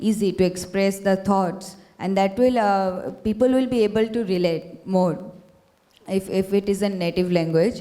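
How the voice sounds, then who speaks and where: A woman talks at a moderate pace with a Bengali accent. Her pitch is medium and her intonation fairly even. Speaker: student panelist. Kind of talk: panel discussion. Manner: halting, many fillers.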